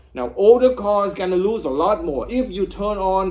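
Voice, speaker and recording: Here a man talks at a fairly slow pace. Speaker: EV owner YouTuber. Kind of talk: casual explainer video.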